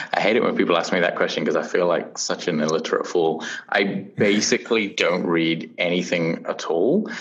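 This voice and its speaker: Over noticeable background noise and audible room echo, a man with a British accent talks at a fairly quick pace with hardly any pauses and very even loudness. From UK. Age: 30s. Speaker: startup founder and CEO. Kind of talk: interview. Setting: remote recording from Portland. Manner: halting, many fillers.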